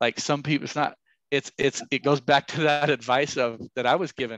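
A man talks in a normal speaking voice at a fairly high pitch, with ordinary pitch variation and a fairly quick pace. The sound is dry with no echo and the background is quiet. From Idaho, US. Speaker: commercial real estate broker and business owner; podcast guest. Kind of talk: interview. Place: home room. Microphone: headset.

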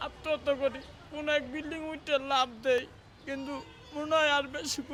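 A man talks at an extremely high pitch in a monotone, flat intonation. Noticeable background noise is present. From Bangladesh, Barisal. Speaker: struggling laborer. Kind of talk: street interview testimony.

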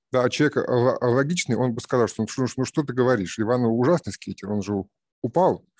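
Against a quiet background, a man talks at a fairly quick pace with ordinary pitch variation. The sound is dry, with no echo. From Russia. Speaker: philosophy discussion participant. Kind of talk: group discussion. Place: home room. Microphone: video call.

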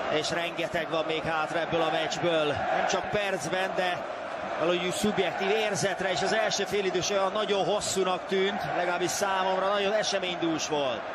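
Amid noticeable background noise and audible room echo, a man with a high pitch speaks at a moderate pace, his intonation fairly even and his loudness very even. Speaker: football commentator. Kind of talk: live commentary.

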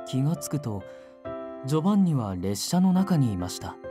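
A man with a fairly high pitch swings his voice very widely up and down while music plays in the background. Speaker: voice actor. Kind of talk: audiobook literature reading.

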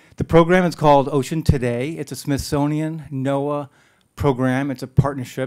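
Over a quiet background, a man with a plain, everyday voice speaks at a fairly high pitch and moderate pace with fairly even intonation. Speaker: science video producer; speaker. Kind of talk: conference presentation. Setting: stage with audience. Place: hall.

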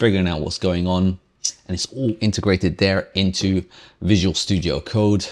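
With a very deep, low pitch, a man talks at a moderate pace with ordinary pitch variation against a quiet background. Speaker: tech reviewer. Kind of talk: tutorial. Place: home room.

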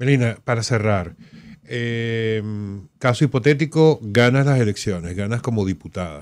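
A man talks fairly slowly with a quiet background behind him. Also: ordinary pitch variation. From Dominican Republic. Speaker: radio host. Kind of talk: radio interview. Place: studio. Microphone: studio mic.

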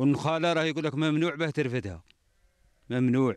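Medium-pitched man at a moderate pace, with ordinary pitch variation and a dry sound with no echo. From Algeria. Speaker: cattle farmer. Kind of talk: interview. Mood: complaining, worried. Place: farm. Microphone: handheld.

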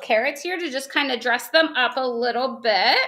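A woman with an American accent speaks at a high pitch against a quiet background. Her tone is bright, sharp and animated, with ordinary pitch variation. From West Virginia. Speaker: craft tutorial host. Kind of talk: live craft tutorial. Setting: live video stream. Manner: fast talker. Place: home room.

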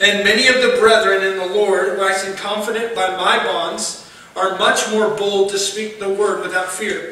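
The voice is raised and projected, with fairly even intonation, over light background noise and audible room echo. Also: man. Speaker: preacher. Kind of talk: sermon. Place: church.

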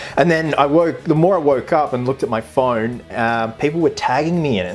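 Faint music sits in the background while a man talks. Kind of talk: casual vlog chat. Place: home room.

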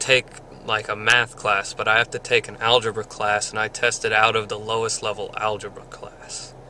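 A man is heard with light background noise and a dry sound with no echo. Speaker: vlogger. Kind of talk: casual vlog chat. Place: car. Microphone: phone near.

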